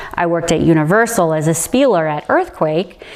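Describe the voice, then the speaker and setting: A woman with a fairly low pitch speaks against noticeable background noise. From Hawaii and Orlando, Florida (military family). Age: 40s. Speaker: storyteller interviewee. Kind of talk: personal life story. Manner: casual, conversational.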